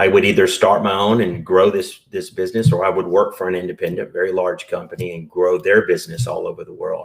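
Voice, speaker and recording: With a Southern US accent, a man talks at a very fast pace. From US South. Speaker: entrepreneur and business broker. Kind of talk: podcast interview.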